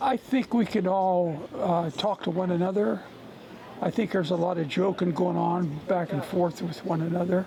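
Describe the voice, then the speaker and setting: A man's high-pitched voice at a moderate pace, with ordinary pitch variation, very even loudness and noticeable background noise. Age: 80s+. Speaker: stat crew member and former quarterback. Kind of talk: interview. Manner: halting.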